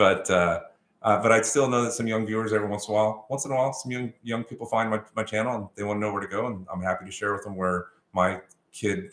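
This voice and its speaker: An ordinary speaking voice, a man with an American accent, fairly low in pitch, at a fairly quick pace with ordinary pitch variation. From Texas. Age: 50s. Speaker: realtor and channel host. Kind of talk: live stream Q&A, casual chat. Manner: casual, many fillers.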